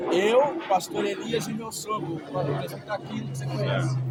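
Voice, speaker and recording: Crowd noise fills the background. A man speaks at a moderate pace. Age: 60s. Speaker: missionary preacher. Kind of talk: interview testimony. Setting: outdoors.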